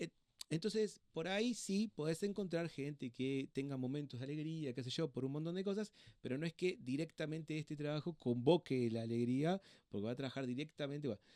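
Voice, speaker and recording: This man talks at a fairly quick pace in a fairly high voice with a dark, mellow tone. The sound is dry and close, with no echo. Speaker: doctor and hospital clown. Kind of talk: interview conversation. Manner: fast; halting.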